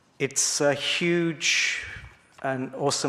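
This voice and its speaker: A man talks with an English accent and fairly even intonation. Noticeable background noise is present. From England. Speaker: school principal. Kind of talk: church talk. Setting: church congregation. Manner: halting, many fillers and repetitions.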